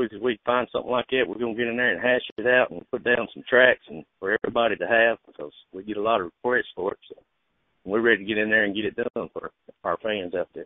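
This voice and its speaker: This man has an Alabama accent and a medium pitch. He talks at a very fast pace with fairly even intonation and big swings in loudness. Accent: Alabama Southern. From US South, Alabama (Lawrence County). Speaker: singer-songwriter. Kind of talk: casual radio interview. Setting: phone call.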